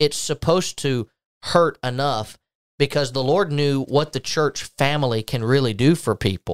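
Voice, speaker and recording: A man's normal speaking voice, fairly high in pitch with ordinary pitch variation, dry and close with no echo, on a very clean recording over a silent background. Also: moderate pace. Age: 20s. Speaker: podcast host, church minister. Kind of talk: casual religious discussion.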